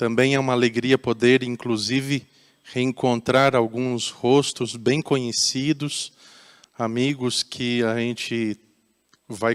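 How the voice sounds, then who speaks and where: A man talks very slowly with a Curitiba accent in a monotone, flat intonation. The sound is dry and close, with no echo. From Brazil, Curitiba. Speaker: pastor. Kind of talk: sermon. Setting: church.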